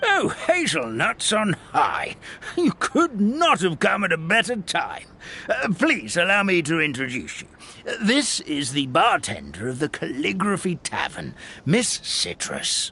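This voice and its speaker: In a put-on character voice, a man speaks at high pitch and a fairly slow pace. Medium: video game. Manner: fussy, folksy exclamations.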